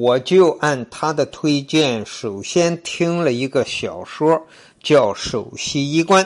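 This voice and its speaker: Lively intonation carries speech delivered at a very slow pace. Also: man, fairly high pitch for a man. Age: 70s. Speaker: travel storytelling podcaster. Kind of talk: personal testimonial monologue. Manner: casual with fillers.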